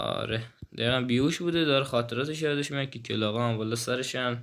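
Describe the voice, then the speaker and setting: A man speaks very fast at a medium pitch, his intonation fairly even. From Iran, Kerman. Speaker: gaming YouTuber. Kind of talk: channel introduction; gameplay commentary. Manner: stumbling over words; casual, informal.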